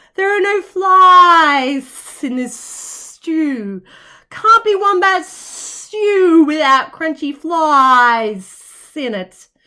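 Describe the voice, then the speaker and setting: A woman puts on a character voice at an extremely high pitch, raised and projected with hissing. She speaks at a very slow pace. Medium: read story.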